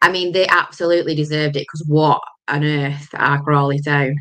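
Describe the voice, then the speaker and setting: In a Lancashire accent, a woman speaks at a moderate pace with a very deep, low pitch and monotone, flat intonation. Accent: Lancashire (Bolton). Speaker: football podcast host. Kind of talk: casual chat.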